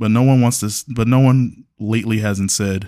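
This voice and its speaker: On a very clean recording with a silent background, a man with an American accent speaks at a moderate pace. His voice is fairly low and dark, mellow in tone, with ordinary pitch variation. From Chicago. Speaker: podcast host. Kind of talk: solo monologue. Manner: casual.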